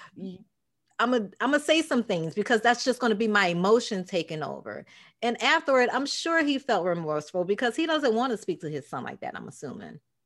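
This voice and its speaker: On a very clean recording with a silent background, a woman speaks fairly quickly in a fairly high voice with vocal fry, very wide pitch swings and big swings in loudness. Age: 30s. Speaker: podcast co-host. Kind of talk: casual chat.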